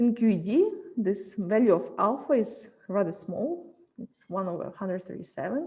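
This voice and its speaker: This woman's somewhat breathy voice sits at a medium pitch with a dark, mellow tone, moving at a moderate pace with lively intonation and big swings in loudness. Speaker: physics lecturer. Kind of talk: lecture.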